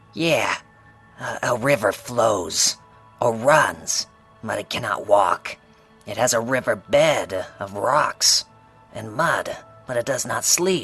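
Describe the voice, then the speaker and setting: A man's put-on character voice at a medium pitch, fairly slow pace with long, frequent pauses, faint music in the background. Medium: audio drama. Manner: sly, casual, self-assured.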